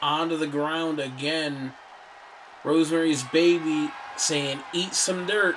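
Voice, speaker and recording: The speech comes at a very slow pace, with audible room echo and noticeable background noise. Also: man, fairly high pitch for a man, fairly even intonation. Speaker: wrestling commentator. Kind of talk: live commentary.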